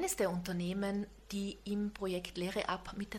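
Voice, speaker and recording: A woman's somewhat breathy voice at a moderate pace. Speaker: podcast host. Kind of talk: interview.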